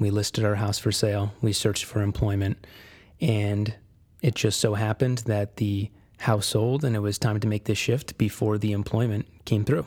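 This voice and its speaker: Somewhat breathy and at a moderate pace, the speaker talks with an American accent. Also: man. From Connecticut, US. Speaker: podcast host. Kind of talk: solo motivational monologue.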